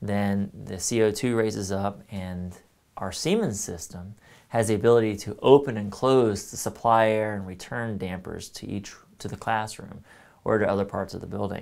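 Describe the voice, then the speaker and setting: In a normal speaking voice, a man with a fairly low pitch talks at a moderate pace with fairly even intonation. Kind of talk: tutorial. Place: workshop. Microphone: lapel.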